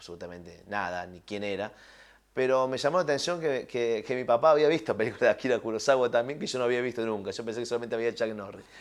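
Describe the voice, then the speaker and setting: The recording is very clean with a silent background. A man talks at a very fast pace with ordinary pitch variation. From Argentina, Villa María (Córdoba). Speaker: film and TV director. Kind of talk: interview. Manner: hesitant, many fillers and repetitions.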